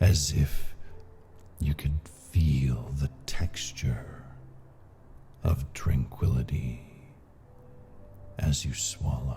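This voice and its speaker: A man with a very deep, low pitch at a very slow pace, with fairly even intonation, long, frequent pauses and music in the background. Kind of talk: sleep story with hypnosis. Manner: soothing, slow.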